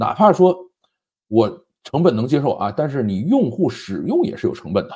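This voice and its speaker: A man speaks in a fairly high pitch with a dark, mellow tone and a somewhat breathy quality. His pitch swings very widely over a quiet background. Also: moderate pace. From China. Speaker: tech and current affairs commentator; commentator. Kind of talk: solo commentary monologue; commentary on tech and politics. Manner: conversational, frequent filler particles. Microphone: lapel.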